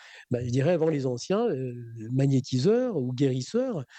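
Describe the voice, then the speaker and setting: This man's voice sits at a medium pitch. He talks rather slowly. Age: 60s. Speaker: magnetic healer and trainer. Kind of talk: radio interview. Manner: halting, many fillers and repetitions.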